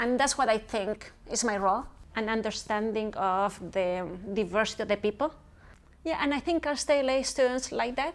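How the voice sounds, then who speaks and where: A woman with a Spanish accent, a fairly high pitch and ordinary pitch variation. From Chile, Santiago. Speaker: professor. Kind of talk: interview. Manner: fast.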